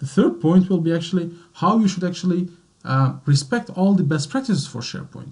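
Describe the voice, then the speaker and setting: A man speaks with a French accent at a high pitch. His tone is dark and mellow, and his pitch varies in an ordinary way. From Belgium, French-speaking centre. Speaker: IT consultant. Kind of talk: webinar presentation. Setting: online webinar. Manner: hesitant, many fillers.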